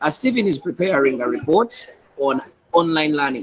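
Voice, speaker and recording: A man's very fast speech with lively intonation. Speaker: student presenter. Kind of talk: class presentation. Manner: hesitant, with fillers; quiet. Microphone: too quiet.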